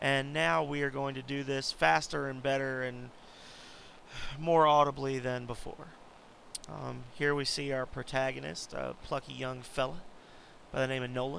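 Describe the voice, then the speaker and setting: A man with medium pitch and ordinary pitch variation talks at a moderate pace, with long, frequent pauses. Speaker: indie game developer. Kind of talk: gameplay walkthrough commentary.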